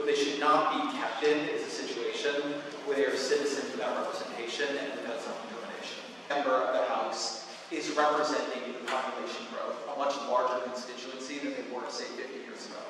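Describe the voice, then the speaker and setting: Talking at a fairly quick pace, a man is heard through strong room echo and noticeable background noise. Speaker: journalist. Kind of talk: lecture talk. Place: hall.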